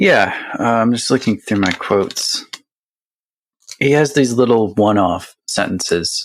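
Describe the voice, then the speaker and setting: The speaker is a man. He keeps a fairly even intonation. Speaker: podcast host. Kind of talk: casual book discussion. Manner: low-energy, sleepy-sounding; hesitant, many fillers.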